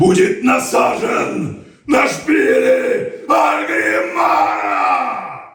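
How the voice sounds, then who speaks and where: A man shouts in a put-on character voice at a very slow pace. Strong echo surrounds every word. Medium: tutorial demo. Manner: growled, shouted.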